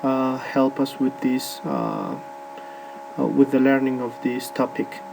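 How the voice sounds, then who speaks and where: The man speaks at a very slow pace with a Spanish accent. There is noticeable background noise. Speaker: English teacher. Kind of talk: presentation. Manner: halting, many fillers.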